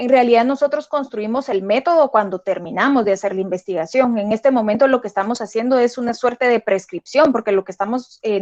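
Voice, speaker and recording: Fairly high-pitched, a woman talks at a fairly quick pace with ordinary pitch variation. The sound is dry and close, with no echo. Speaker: lecturer. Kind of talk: lecture. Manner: fast.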